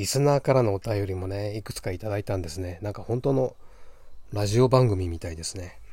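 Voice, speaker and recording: Somewhat breathy and fairly low, a man's voice with a dark, mellow tone moves at a fairly quick pace. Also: ordinary pitch variation, big swings in loudness, very clean recording, silent background. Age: middle-aged. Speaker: podcast host, yoga practitioner. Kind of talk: casual monologue. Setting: outdoors on a balcony.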